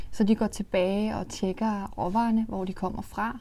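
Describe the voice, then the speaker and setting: A woman speaks at a medium pitch with a dark, mellow tone and flat, monotone intonation. The recording is very clean, with a silent background. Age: 20s. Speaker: makeup company co-founder. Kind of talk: interview.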